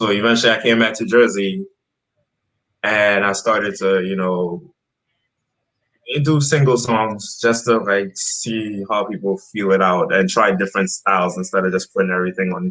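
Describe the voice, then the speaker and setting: Bright and sharp in tone, a man with a fairly low pitch and an American accent speaks with long, frequent pauses. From Trinidad, then Brooklyn New York from age two. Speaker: rapper and army drill sergeant. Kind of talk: interview. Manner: casual, filler-heavy.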